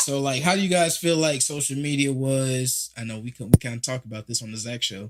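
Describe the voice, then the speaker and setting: A medium-pitched man with an American accent and ordinary pitch variation. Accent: country twang. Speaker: podcast host. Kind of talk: casual chat.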